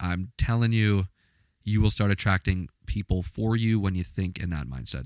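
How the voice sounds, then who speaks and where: The voice has an animated tone, recorded very cleanly against a silent background with a dry, close sound and no echo. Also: man. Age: 20s. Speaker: podcast host. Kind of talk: casual monologue.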